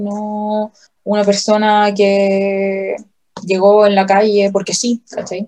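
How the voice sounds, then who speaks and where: A woman with a Chilean accent speaks at a very slow pace in a dark, mellow tone. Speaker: podcast co-host. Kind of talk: casual chat.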